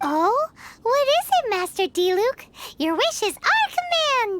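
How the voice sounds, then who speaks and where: In a squeaky, put-on character voice at an extremely high pitch, the speaker talks at a moderate pace. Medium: video game. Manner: excitable, chatty.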